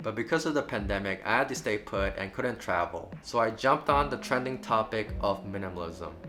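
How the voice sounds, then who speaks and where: A man's fairly low voice with lively intonation over music in the background. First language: Burmese. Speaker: travel vlogger. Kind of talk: vlog monologue. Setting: cousin's living room in Singapore.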